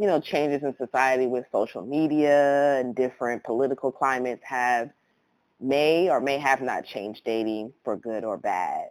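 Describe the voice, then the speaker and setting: A woman at a moderate pace with a very deep, low pitch and ordinary pitch variation. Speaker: podcast co-host. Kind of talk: casual chat. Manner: low-key, not chipper.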